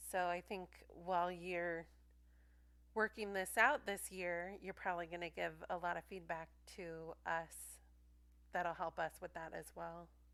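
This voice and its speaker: A woman's fairly low, bright, sharp voice, with fairly even intonation, a fairly slow pace, and long, frequent pauses. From Southern California. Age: 30s. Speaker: podcast co-host. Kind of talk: casual chat.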